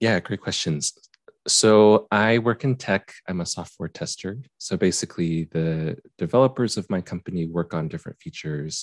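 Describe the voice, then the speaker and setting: Against a quiet background, a man with a Utah accent and a very deep, low pitch speaks at a moderate pace with lively intonation in a dry, close sound with no echo. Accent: American (Utah). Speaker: YouTuber and software tester. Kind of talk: casual chat.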